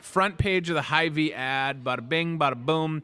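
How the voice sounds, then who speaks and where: Over background music, a man with a fairly high pitch speaks in an energetic, upbeat tone. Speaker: talk show host in a grocery store. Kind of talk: casual live talk show. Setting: grocery store. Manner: fast rapid-fire.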